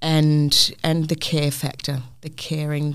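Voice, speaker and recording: A woman with a New Zealand accent speaks in a very deep, low pitch. Her intonation is monotone and flat, and the recording is very clean, with a silent background. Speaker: hospitality venue manager. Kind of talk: casual interview. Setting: studio.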